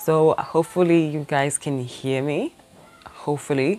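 A woman speaks with a very deep, low pitch. Faint music plays in the background. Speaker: YouTuber testing a mic. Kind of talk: casual vlog chat. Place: home room. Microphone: lapel.

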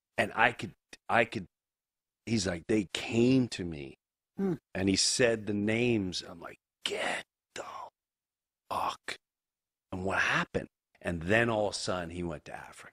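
A man's fairly low voice at a moderate pace, with ordinary pitch variation, long and frequent pauses, a quiet background, and a dry sound with no echo. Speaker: podcast guest. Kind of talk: interview anecdote. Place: studio. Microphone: studio mic.

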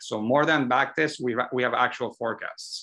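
Against a quiet background, a man with a bright, sharp tone talks at a moderate pace with fairly even intonation. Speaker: presenter. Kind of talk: webinar Q&A answer.

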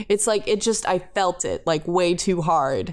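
On a very clean recording with a silent background, a woman speaks in a plain, everyday voice. Her pitch is fairly low with ordinary variation, and her pace is fairly slow. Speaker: podcast co-host. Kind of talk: casual chat.

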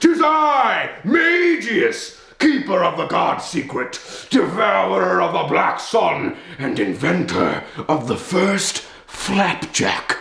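A man's put-on character voice, very slow, with slight echo. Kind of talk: comic overacting. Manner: pompous, theatrical, then menacing.

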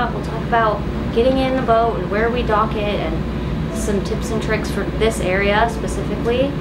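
A woman speaks at a moderate pace while loud background noise fills the clip. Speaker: vlogger living aboard a boat. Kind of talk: casual vlog chat. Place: boat. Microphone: camera far.

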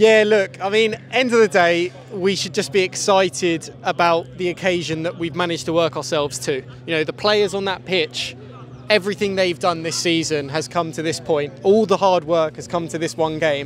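A man speaks in a high voice with ordinary pitch variation. The sound is dry with no echo, over light background noise. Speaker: football commentator. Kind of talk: live commentary. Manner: excitable, rapid-fire, rising pitch at goals. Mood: excited, upbeat. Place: stadium. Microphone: handheld.

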